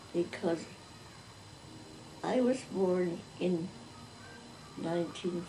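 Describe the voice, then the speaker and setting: Speaking very slowly at a medium pitch with fairly even intonation, a woman is heard over noticeable background noise and audible room echo. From North China. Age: 90s. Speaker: oral history interviewee. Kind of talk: interview.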